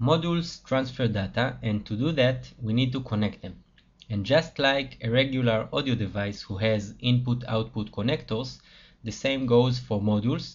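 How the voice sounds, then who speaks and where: Somewhat breathy and with a non-native accent, this voice moves at a moderate pace with ordinary pitch variation. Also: man. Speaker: software developer. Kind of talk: tutorial.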